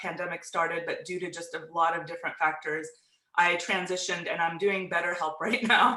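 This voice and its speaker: Speech moves at a moderate speed. It is delivered in an American accent. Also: woman. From US South. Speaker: mental health therapist. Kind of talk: casual chat.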